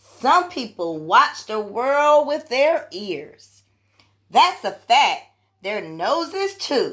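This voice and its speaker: A woman's put-on character voice, high and very slow, with very wide pitch swings. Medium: read story. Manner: gentle, courteous.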